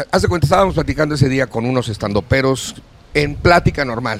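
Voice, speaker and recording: Speaking with a Mexican accent, a man with a fairly high pitch goes at a fairly quick pace with lively intonation. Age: 60s. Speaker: actor and entertainer. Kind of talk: casual chat. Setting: studio.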